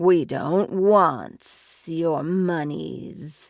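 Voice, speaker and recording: A woman puts on a hissing character voice at a fairly low pitch. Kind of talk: broken, menacing speech.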